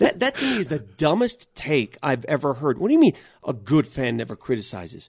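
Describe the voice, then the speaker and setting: Somewhat breathy and at a fairly high pitch, a man with an American accent talks fairly quickly with very wide pitch swings, in a dry, close sound with no echo. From US, North Denver, Colorado. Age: 50s. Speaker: sports radio host. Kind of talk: casual interview.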